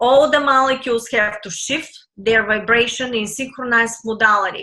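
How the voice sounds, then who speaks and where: The delivery is fairly slow, with a bright, sharp tone. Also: woman. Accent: non-native. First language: not English. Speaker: spiritual teacher. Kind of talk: webinar talk. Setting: webinar with screen sharing. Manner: hesitant, many fillers.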